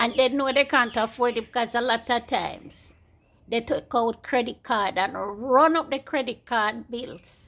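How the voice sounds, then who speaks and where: In an American accent, a woman speaks at a fairly slow pace. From Jamaica. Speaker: YouTuber. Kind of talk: casual monologue vlog.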